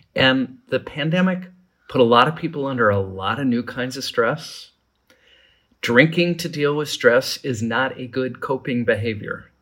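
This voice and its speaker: A man speaks in an ordinary speaking voice, at medium pitch with ordinary pitch variation and a moderate pace. The recording is very clean, with a silent background. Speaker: alcohol policy professor. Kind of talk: interview.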